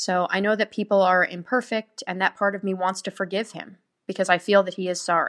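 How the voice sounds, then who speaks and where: A woman with a normal speaking voice talks at a medium pitch and a fairly quick pace with fairly even intonation, the sound dry and close with no echo and the background quiet. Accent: American. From New Jersey, US. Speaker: listener sending in an audio question. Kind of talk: recorded listener question.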